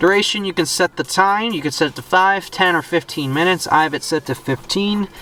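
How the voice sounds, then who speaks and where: A high-pitched male voice with ordinary pitch variation and hardly any pauses, over noticeable background noise. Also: fairly quick pace. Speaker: car reviewer YouTuber. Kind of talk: car review walkthrough. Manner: fast; casual, with fillers.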